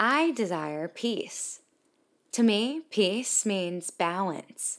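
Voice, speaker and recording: A woman with a plain, everyday voice speaks at medium pitch with lively intonation. The recording is very clean, the background silent. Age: 20s. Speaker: podcast host. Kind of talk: inspirational monologue.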